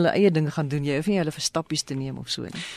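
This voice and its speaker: Lively intonation runs through a normal speaking voice. The sound is dry and close with no echo, over a quiet background. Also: woman. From South Africa, Western Cape (Ceres). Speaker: radio presenter. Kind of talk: radio interview.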